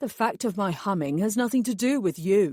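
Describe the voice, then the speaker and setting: Over a very clean recording with a silent background, a woman growls in a put-on character voice at medium pitch and a moderate pace. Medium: read story. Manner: primly defiant.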